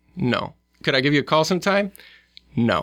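A man with a Midwestern US accent talks at a fairly quick pace in a bright, sharp tone. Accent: US Midwest. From Omaha, Nebraska. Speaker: lawyer and scholarship founder. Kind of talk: interview conversation.

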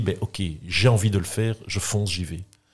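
Somewhat breathy and fairly low in pitch, a man speaks with fairly even intonation. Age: 50s. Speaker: entrepreneur. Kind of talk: interview. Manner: halting.

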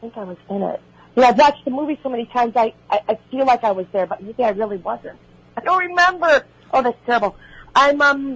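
With a Chicago accent, a woman talks at a very fast pace in a high pitch. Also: lively intonation, big swings in loudness. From Illinois, Chicago area. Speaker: actress. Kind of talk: radio interview.

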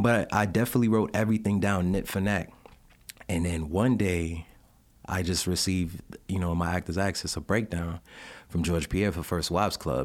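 Talking at a fairly quick pace, a man with a New York accent has a very deep, low pitch. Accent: New York, can also do Jamaican. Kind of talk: casual interview chat. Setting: studio. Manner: earnest, faith-focused.

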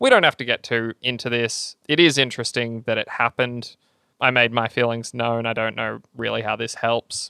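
With an Australian accent and an animated tone, a man speaks at a moderate pace in a medium pitch. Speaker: podcast co-host. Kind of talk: casual banter. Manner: animated, joking.

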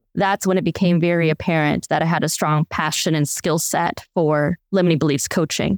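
With an Upper Midwest accent, a woman speaks at a fairly low pitch and a moderate pace, with hardly any pauses, fairly even intonation and very even loudness. The very clean recording has a silent background and a dry, close sound with no echo. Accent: Upper Midwest American. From Wisconsin. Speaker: life coach. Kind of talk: interview storytelling.

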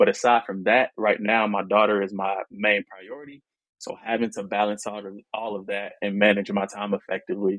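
Delivering his words at a fairly quick pace, a man with a fairly low pitch keeps a monotone, flat intonation while his loudness swings widely. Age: 20s. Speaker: single father. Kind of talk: casual chat.

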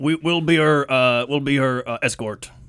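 A man's put-on character voice, gruff and fairly high-pitched. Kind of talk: game-session roleplay.

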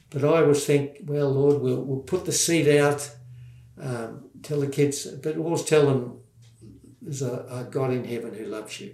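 In an Australian accent, a man speaks at a moderate pace with a fairly high pitch, fairly even intonation and big swings in loudness. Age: 70s. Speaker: former children's pastor and war veteran. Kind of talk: testimony.

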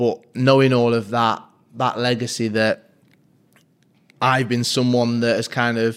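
The speaker has a Mancunian accent and keeps a moderate pace. The intonation stays monotone and flat. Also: man. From Manchester, Fallowfield. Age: 30s. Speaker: sports presenter. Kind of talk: interview.

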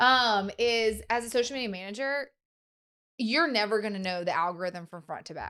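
In a very clean recording with a silent background, a woman speaks at a moderate pace with a fairly high pitch and a bright, sharp tone. Her pitch varies in an ordinary way while her loudness swings widely. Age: 30s. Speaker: podcast host and social media coach. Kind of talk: casual interview chat. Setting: studio.

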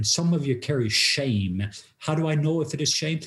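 The man sounds somewhat breathy. He talks at a fairly slow pace with ordinary pitch variation. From Norway. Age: 50s. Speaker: pastor and international speaker. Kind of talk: testimony.

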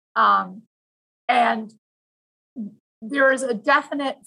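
A woman speaks at a very slow pace in a raised, projected voice. Her pitch is high, and her tone is bright and sharp. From Vancouver, western Canada. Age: 40s. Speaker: high school English teacher. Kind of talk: interview conversation.

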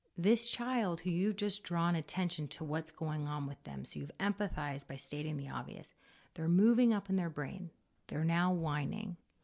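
At a moderate pace, a woman speaks with fairly low pitch and ordinary pitch variation in an ordinary speaking voice. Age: 40s. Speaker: parenting coach and podcast host. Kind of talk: casual interview chat.

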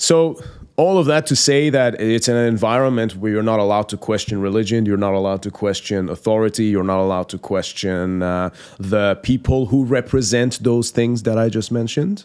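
A man's medium-pitched voice in a Persian accent, with ordinary pitch variation. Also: fairly quick pace. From Iran. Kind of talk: interview.

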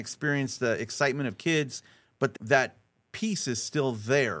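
A man with a plain, everyday voice speaks at a fairly high pitch with ordinary pitch variation on a very clean recording with a silent background. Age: 50s. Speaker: strategist and speaker. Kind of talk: interview. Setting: studio.

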